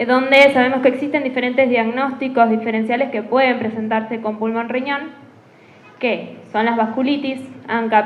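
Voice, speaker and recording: Her voice high in pitch, a woman speaks at a moderate pace with fairly even intonation, with audible room echo and noticeable background noise. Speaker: rheumatology physician presenting a case. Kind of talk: medical case presentation.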